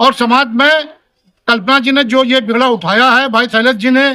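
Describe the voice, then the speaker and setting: Raised and projected, a man's extremely high voice carries a bright, sharp tone with fairly even intonation. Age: 70s. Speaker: politician. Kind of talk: speech to reporters at community meeting.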